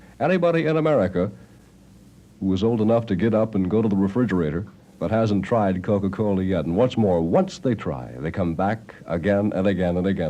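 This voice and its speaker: Here a man has a fairly low pitch and a dark, mellow tone with vocal fry. His intonation is lively. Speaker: radio disc jockey. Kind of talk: live radio commercial read. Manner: ad-libbed.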